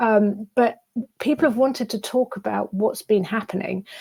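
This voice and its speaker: A fairly high-pitched woman on a very clean recording with a silent background. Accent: British. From England, London. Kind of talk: interview. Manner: halting, many fillers and repeats.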